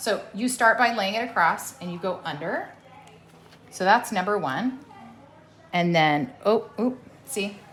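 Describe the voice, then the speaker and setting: A woman speaks at a fairly slow pace in an upbeat tone, leaving long, frequent pauses. Her intonation is lively, and noticeable background noise runs underneath. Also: medium pitch for a woman. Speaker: veterinarian. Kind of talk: hands-on surgical teaching. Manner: loud; encouraging, upbeat.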